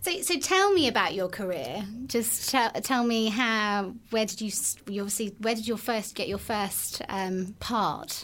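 Fairly slow and fairly high-pitched, a woman speaks in a plain, everyday voice with ordinary pitch variation. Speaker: podcast host, brain injury survivor. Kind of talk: casual interview.

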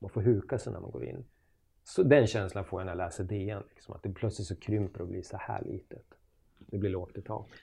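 Against a quiet background, a man with a fairly low pitch, dark, mellow tone and vocal fry talks at a fairly quick pace, his loudness swinging widely while his pitch varies in an ordinary way. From Sweden, Jämtland (Östersund). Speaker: journalist and author. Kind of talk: casual interview chat.

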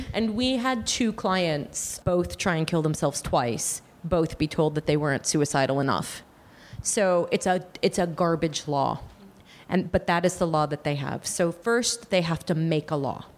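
A woman speaks in an unremarkable speaking voice at a fairly low pitch, with lively intonation and a moderate pace. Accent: American. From United States. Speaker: abortion charity founder. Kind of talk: interview answers, explanatory.

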